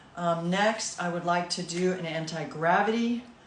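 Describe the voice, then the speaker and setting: Speaking at a moderate pace and a medium pitch, a woman is heard with noticeable background noise and audible room echo. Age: 60s. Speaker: massage therapist doing self-care videos. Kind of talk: casual guided self-care demonstration.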